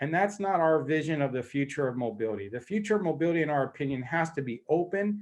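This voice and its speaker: An unremarkable speaking voice: a man with fairly high pitch, lively intonation and a fairly quick pace against a quiet background. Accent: American. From US. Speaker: mobility tech company executive. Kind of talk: panel debate presentation. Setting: online conference.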